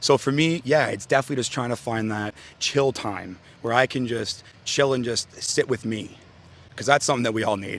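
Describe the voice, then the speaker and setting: A man talks at a moderate pace and a medium pitch. It is a normal speaking voice with fairly even intonation. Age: 20s. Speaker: interviewee. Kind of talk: casual interview.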